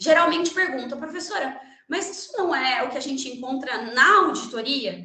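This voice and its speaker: In a raised, projected voice with lively intonation, a woman speaks at a high pitch, her loudness swinging widely amid audible room echo. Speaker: lawyer and guest lecturer. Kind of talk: lecture. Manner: fast.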